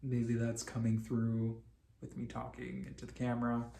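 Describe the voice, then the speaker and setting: Somewhat breathy, a man's voice comes through with audible room echo. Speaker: vlogger. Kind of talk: personal video diary. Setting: talking to a camera, late at night. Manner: halting, repeats words.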